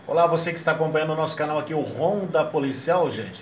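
A man is recorded with audible room echo. Light background noise can be heard. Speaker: radio host. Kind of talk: show intro to viewers. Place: studio.

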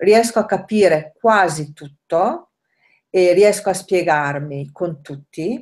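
A woman's very slow speech with ordinary pitch variation over a quiet background. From northern Italy, Rovereto (Trentino); Trentino, Italy. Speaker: language learner, nanny; interviewee. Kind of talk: interview. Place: kitchen. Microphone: webcam.

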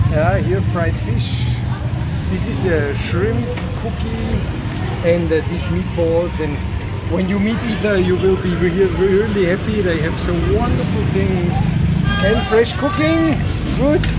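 A man talks at a fairly slow pace, stopping often for long pauses. Loud background noise runs under his voice. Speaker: travel vlogger. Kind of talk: casual vlog chat. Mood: cheerful, enthusiastic. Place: street. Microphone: phone near.

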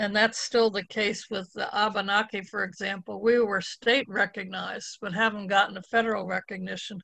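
A woman's bright, sharp voice with vocal fry, monotone, flat intonation, a fairly quick pace and hardly any pauses, in a dry sound with no echo against a quiet background. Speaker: poet. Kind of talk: panel discussion. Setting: video call. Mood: reflective, personal. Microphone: video call.

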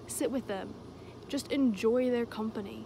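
Over noticeable background noise, a woman speaks at a moderate pace with fairly even intonation in a dry sound with no echo. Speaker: vlogger. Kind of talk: casual vlog chat. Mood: earnest, emotional, emphatic. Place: open country. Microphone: phone near.

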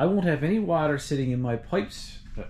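A somewhat breathy male voice with lively intonation over light background noise. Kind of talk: casual vlog chat. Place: home room. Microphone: phone near.

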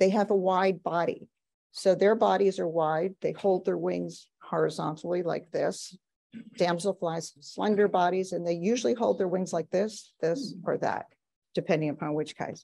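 Vocal fry runs through this woman's dark, mellow voice, which is fairly low and varies in pitch in an ordinary way at a moderate pace. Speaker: presenter. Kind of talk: lecture. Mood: enthusiastic, warm.

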